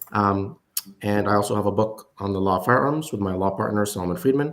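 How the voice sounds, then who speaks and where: A man's fairly low voice with an Arabic accent, ordinary pitch variation and a fairly quick pace. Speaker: lawyer and investor. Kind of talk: panel discussion. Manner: hesitant, many fillers.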